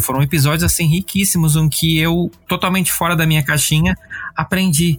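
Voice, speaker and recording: A man with a fairly high pitch at a fairly quick pace, against noticeable background noise. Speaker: podcast host. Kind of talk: casual chat; scripted narration. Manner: talkative.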